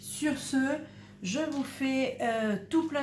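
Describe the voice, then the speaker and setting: Amid noticeable background noise and audible room echo, a woman speaks at a very slow pace with fairly even intonation. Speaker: crafts youtuber. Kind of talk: tutorial. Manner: soft-spoken; hesitant.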